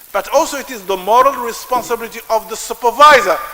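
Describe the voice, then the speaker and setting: A man uses a raised, projected voice with an extremely high pitch. He talks at a moderate pace against noticeable background noise. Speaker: professor. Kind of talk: lecture. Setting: lecture hall with audience. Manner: loud; halting.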